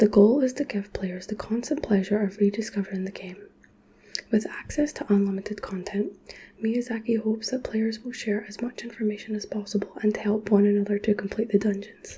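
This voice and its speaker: A soft-spoken woman with a Scottish accent talks at a fairly quick pace in a fairly high voice with fairly even intonation, over noticeable background noise. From Scotland. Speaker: ASMR creator. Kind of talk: sleep reading of a nonfiction book.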